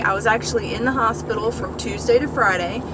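Noticeable background noise behind a woman, the sound dry with no echo. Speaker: vlogger. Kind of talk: casual vlog chat. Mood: candid, slightly embarrassed. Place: car. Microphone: phone near.

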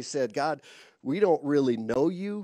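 Against a quiet background, a man speaks in a dark, mellow tone with ordinary pitch variation, the sound dry with no echo. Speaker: preacher. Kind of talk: sermon. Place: stage. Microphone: headset.

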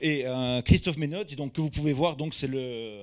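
A man talks with a fairly high pitch. Nothing much can be heard behind him. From Corsica. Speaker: sommelier; conference speaker. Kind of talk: testimony. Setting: stage with audience. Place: hall. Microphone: handheld.

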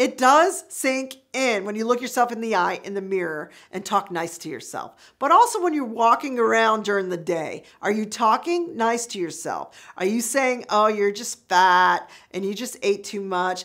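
Against a quiet background, a woman talks at a moderate pace with hardly any pauses, her pitch fairly high and her intonation lively. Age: 50s. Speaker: YouTube lifestyle vlogger. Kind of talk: casual vlog monologue. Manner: animated. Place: studio. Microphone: lapel.

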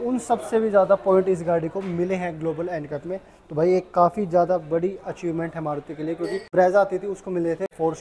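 Over light background noise, a man speaks in a high pitch with fairly even intonation. His pace is moderate, with hardly any pauses. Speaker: car reviewer. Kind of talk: casual product review. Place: shop. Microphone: lapel.

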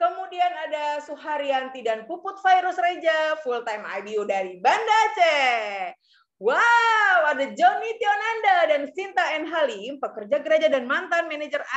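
A woman's animated, high-pitched voice with very wide pitch swings, at a moderate pace against a quiet background. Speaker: event MC. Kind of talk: seminar hosting. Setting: video call. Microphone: video call.

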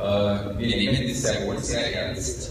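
Over loud background noise and with audible room echo, a man talks at a fairly slow pace. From Styria, Austria. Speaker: representative of a folk play group. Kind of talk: short acceptance speech at an award ceremony. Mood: grateful, earnest. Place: stage. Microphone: handheld.

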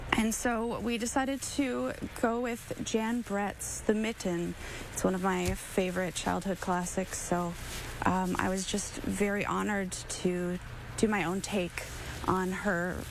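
A woman talks at a fairly slow pace, in a dry sound with no echo. Noticeable background noise runs behind her. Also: ordinary pitch variation. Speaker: guest. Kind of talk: interview answer. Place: street.

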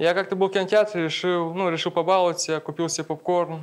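A man with a high voice talks very fast over light background noise. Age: 20s. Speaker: stand-up comedian. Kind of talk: stand-up comedy set. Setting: stage with audience. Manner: casual, conversational, with punchline pauses. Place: stage. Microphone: handheld.

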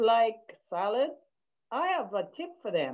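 Her voice fairly high, a woman speaks with very wide pitch swings. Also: quiet background. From Jamaica. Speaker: co-host, hairdresser and mother. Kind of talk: casual chat. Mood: warm, relaxed. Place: home room. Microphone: video call.

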